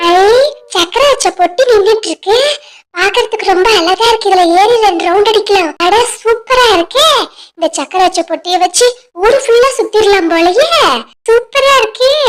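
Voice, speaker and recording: An extremely high-pitched, cartoonish character voice moves at a moderate pace. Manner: loud, blustering.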